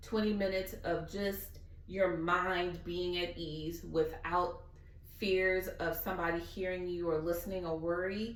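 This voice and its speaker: There is noticeable background noise and audible room echo. The speaker has a Southern US accent. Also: woman. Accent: Southern drawl. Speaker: guest speaker. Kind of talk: Q&A session. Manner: animated.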